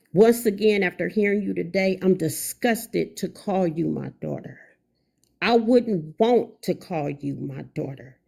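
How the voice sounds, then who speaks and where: A woman's medium-pitched voice with a dark, mellow tone, vocal fry, lively intonation and a fairly slow pace. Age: 50s. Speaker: livestreamer. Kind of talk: angry livestream rant. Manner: emphatic, repetitive.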